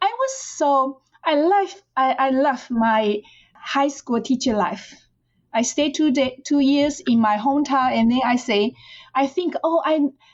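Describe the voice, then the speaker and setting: In a Chinese accent, a woman speaks at a high pitch with ordinary pitch variation. Her pace is fairly slow and her loudness very even. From China, rural Fujian. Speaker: professor. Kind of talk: interview. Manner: halting, with repetitions.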